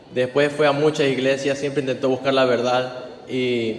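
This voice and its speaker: Against noticeable background noise, a man at a medium pitch speaks at a moderate pace with monotone, flat intonation. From Venezuela. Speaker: interpreter for his partner. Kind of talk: interpreting testimony.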